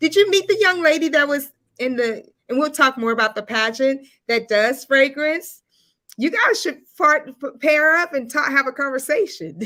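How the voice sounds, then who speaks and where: A woman with a high, bright, sharp voice speaks loudly and projects, her intonation lively. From US South. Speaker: live show host. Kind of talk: live interview. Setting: livestream.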